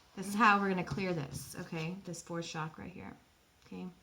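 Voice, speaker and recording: Fairly quick speech from a woman with a fairly low pitch and ordinary pitch variation, amid noticeable background noise and audible room echo. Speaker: spiritual channeler. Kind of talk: guided meditation. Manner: animated.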